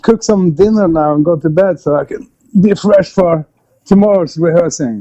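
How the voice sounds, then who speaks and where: Lively in intonation, this man's high voice has a dark, mellow tone. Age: 50s. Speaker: metal band musician. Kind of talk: casual interview.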